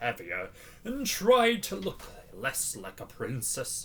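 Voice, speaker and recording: This man talks fairly slowly in a put-on character voice. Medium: read story.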